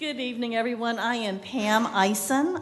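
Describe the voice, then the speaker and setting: A woman with an American accent speaks at a moderate pace with ordinary pitch variation over noticeable background noise. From Florida, New Smyrna Beach. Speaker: chamber of commerce president. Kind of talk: public comment at city meeting. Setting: city commission meeting chamber.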